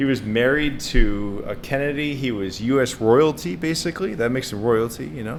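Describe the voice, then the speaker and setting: Speaking fairly quickly with hardly any pauses, a man with an American accent uses lively intonation at a medium pitch, and the room echo is audible. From US, Boston area with childhood in England and Kentucky parents. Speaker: AI researcher and podcast co-host. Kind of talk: casual chat.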